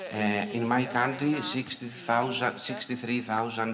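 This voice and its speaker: Spoken with a Greek accent, the voice carries audible room echo amid noticeable background noise. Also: man. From Greece. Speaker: conference speaker, early childhood educator. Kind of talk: conference talk. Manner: halting, many fillers.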